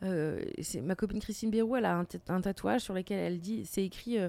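A woman talks at a fairly quick pace with ordinary pitch variation and a medium pitch. Her tone is dark and mellow, on a very clean recording with a silent background. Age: 30s. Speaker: comedian and podcaster. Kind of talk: casual chat.

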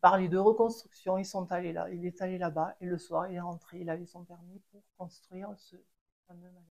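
Flat, monotone speech from a woman at a fairly low pitch. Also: moderate pace, big swings in loudness. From French Pyrenees, Les Angles. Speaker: chalet owner, ski shop family. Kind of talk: interview storytelling. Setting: at her home. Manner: halting, repeats words.

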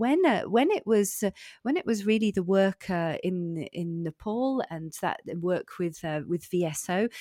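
In a very clean recording with a silent background and dry, close sound with no echo, a woman with a British accent speaks fairly slowly at medium pitch, her tone dark and mellow, with ordinary pitch variation. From UK. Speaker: executive coach and former teacher. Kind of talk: interview. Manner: halting, many repetitions.

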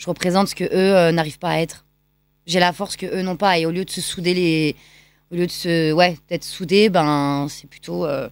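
A woman speaks at a moderate pace with a fairly low pitch and fairly even intonation. Her loudness swings widely on a very clean recording with a silent background. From France, Lyon. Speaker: choreographer and dancer. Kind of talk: radio interview. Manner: hesitant fillers.

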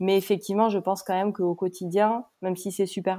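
Recorded very cleanly against a silent background, this woman's voice has a dark, mellow tone. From Pau, southwest France. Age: 30s. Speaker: magazine co-founder. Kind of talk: casual chat.

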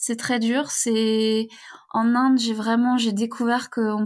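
A woman's fairly high, monotone, flat voice at a moderate pace, on a very clean recording with a silent background. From western France (Brittany, near Rennes). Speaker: feminist author and traveler. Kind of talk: interview.

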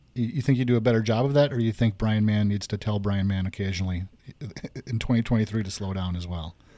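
In a very clean recording with a silent background, a man speaks very fast in a fairly low, dark, mellow voice with ordinary pitch variation. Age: 50s. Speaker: podcast host, realtor. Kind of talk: casual chat.

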